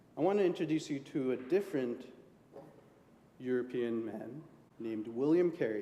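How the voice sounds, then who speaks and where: With lively intonation and long, frequent pauses, a man speaks at a moderate pace and medium pitch amid audible room echo. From India. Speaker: lay preacher. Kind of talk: sermon. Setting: church.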